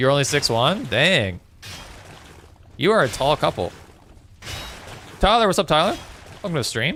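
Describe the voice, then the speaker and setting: Speaking in a Newfoundland accent at a moderate pace, a man leaves long, frequent pauses. His fairly high voice moves in very wide pitch swings. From Newfoundland, Canada (St. John's). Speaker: gaming streamer. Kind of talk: casual livestream chat while gaming. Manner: casual, conversational.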